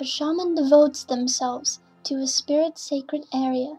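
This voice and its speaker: Her voice is high for a woman, and the woman speaks in a monotone with flat intonation. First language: not English. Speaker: gamer. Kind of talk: game lore narration.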